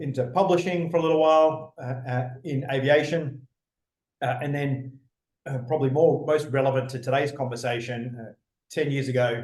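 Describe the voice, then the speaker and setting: In an Australian accent, a somewhat breathy voice keeps a moderate pace and fairly even intonation, with big swings in loudness and audible room echo. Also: man, fairly high pitch for a man. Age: 40s. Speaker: former fighter pilot and business speaker. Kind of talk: interview conversation. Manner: many fillers and false starts.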